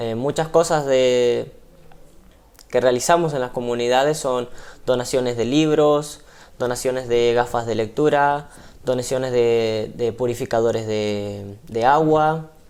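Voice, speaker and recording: The speaker talks at a fairly slow pace with an Argentine accent. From Argentina. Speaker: missionary ship crew member. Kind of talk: TV interview. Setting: TV studio.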